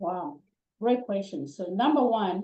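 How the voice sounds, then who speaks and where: The voice has a dark, mellow tone and a non-native accent. It moves at a moderate pace with ordinary pitch variation. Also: woman. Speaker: network marketing business owner, guest speaker. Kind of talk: Q&A answers in an online business training session.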